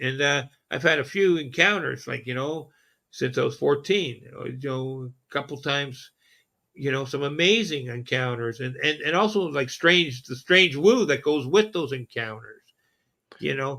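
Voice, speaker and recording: In a Canadian accent, a man speaks at a moderate pace with a bright, sharp tone, fairly high pitch and ordinary pitch variation on a very clean recording with a silent background. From southern Ontario, Canada. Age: 60s. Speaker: podcast host. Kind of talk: casual chat. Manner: halting.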